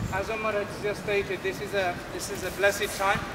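A man speaks over noticeable background noise. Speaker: guest. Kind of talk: public speech. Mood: earnest, reflective. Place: street. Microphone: camera far.

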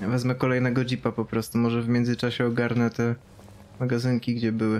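Fairly quick male speech with a Polish accent and light background noise. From Poland. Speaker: game streamer. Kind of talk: casual chat. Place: home room.

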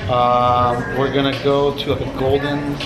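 Loud background noise accompanies speech delivered at a very slow pace. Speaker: hair colorist. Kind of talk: explaining while working. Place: shop.

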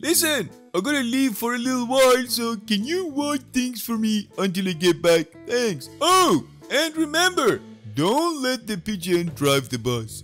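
Over faint music in the background, a man does a cartoonish character voice in an extremely high pitch. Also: moderate pace. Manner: cheerful, casual.

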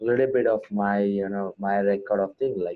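A man speaks with an Indian accent. His pitch sits fairly low. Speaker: MMA fighter. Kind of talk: interview. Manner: hesitant, many fillers. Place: home room. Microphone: earbuds.

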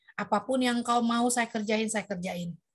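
A high-pitched woman at a moderate pace against a quiet background. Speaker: moderator. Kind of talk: prayer group moderating. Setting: video call. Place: home room. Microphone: video call.

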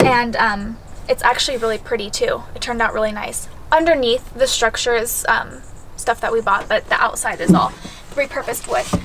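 A woman talks at a fairly quick pace with ordinary pitch variation. Noticeable background noise runs underneath. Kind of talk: casual vlog chat. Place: car. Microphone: camera far.

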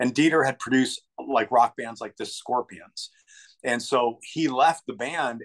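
A man at a moderate pace, with ordinary pitch variation, over a quiet background. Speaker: guest. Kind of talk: interview answer. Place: home room. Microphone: video call.

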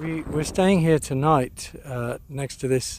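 Over light background noise, a man talks at a very slow pace with ordinary pitch variation, the sound dry with no echo. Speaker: travel vlogger. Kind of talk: casual vlog chat. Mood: amused, enthusiastic. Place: open country. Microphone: phone near.

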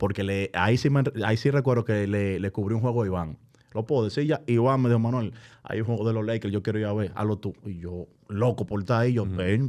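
Against a quiet background, a man with a fairly low voice talks at a very fast pace with ordinary pitch variation. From Dominican Republic, San Cristóbal; Dominican Republic. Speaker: basketball broadcast commentator. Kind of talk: casual chat. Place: studio. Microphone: studio mic.

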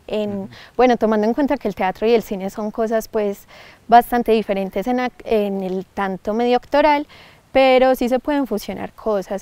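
At a moderate pace, a woman speaks with a fairly high pitch, ordinary pitch variation and a dark, mellow tone, the sound dry and close with no echo. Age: young. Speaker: actress and filmmaker. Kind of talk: interview. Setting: outdoors.

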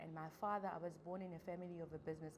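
Over noticeable background noise, a woman with a fairly low pitch talks at a moderate pace. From South Africa, Free State. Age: young. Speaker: small business owner. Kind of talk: interview testimony. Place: studio.

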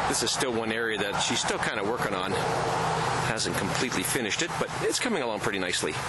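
Over loud background noise, a man talks very fast with hardly any pauses. The sound is dry with no echo, and his pitch varies in an ordinary way. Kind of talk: casual walkthrough narration. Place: garden. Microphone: phone near.

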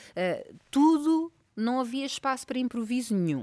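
A woman's intonation is lively as she talks at a moderate pace, with a quiet background behind her. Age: 30s. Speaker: actress and former model; actress. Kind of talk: casual interview. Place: studio. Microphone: studio mic.

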